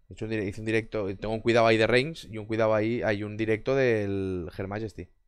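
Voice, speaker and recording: The voice has an animated tone at a fairly quick pace. The background is quiet. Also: man, dry sound with no echo. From Barcelona, Spain; Spain. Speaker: gaming streamer. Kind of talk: casual chat with live stream viewers. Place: home room. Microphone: headset.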